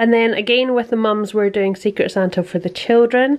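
A woman with a Scottish accent, against a quiet background. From Scotland. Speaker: vlogger, mother and architect. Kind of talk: casual vlog narration. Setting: at home. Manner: animated. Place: home room. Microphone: phone near.

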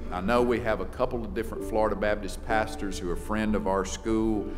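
Over clear music in the background, a man speaks with a fairly low pitch and ordinary pitch variation. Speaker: chapel host introducing the preacher. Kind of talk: announcements and introduction. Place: church. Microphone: podium.

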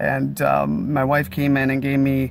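A man's voice comes through dry, with no echo. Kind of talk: casual vlog chat. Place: car. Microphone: phone near.

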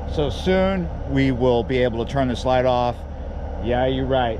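Noticeable background noise sits under a man's voice, and the sound is dry with no echo. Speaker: fishing vlogger. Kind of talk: casual vlog chat. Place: waterside. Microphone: phone near.

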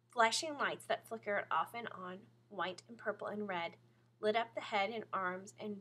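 Text is read aloud here in a natural voice.

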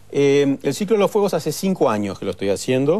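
A man speaks at a moderate pace in a dark, mellow tone. His pitch swings very widely. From Argentina, Bariloche; Argentina. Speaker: chef; guest. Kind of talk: TV talk show interview. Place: studio.

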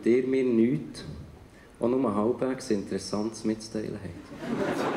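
There is noticeable noise in the background while a man talks. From Bern, Switzerland. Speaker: writer and spoken-word artist. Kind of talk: poetry slam performance. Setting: live stage in front of an audience. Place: stage. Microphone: handheld.

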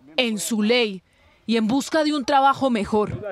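Fairly unhurried speech against noticeable background noise. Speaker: TV news reporter. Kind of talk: TV news report narration.

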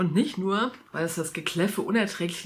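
Ordinary pitch variation in someone reading aloud in a natural voice.

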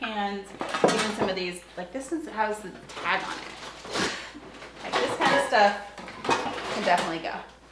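Noticeable background noise runs under the clip. A woman talks at a fairly quick pace. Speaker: vlogger. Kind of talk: casual vlog chat. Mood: cheerful, playful. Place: kitchen. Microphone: phone near.

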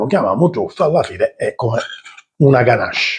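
A man's animated tone over a quiet background. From Sicily. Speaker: cooking channel host. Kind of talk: cooking tutorial. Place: kitchen.

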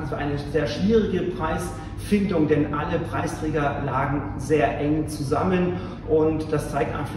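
The pace is fairly slow. Noticeable background noise and audible room echo can be heard. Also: man. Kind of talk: formal speech. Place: hall. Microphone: camera far.

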